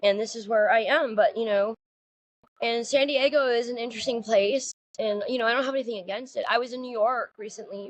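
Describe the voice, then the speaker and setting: A woman with a Californian accent, fairly high in pitch, at a fairly quick pace, with ordinary pitch variation and big swings in loudness. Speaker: podcast co-host. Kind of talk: casual chat. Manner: fast, interrupting.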